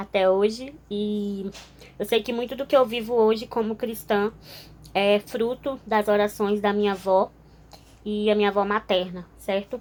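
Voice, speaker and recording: A woman with a medium pitch speaks at a fairly slow pace. Her intonation stays fairly even. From northern Brazil, Altamira (Pará). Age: 20s. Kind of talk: testimony. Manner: informal, with frequent filler hesitations.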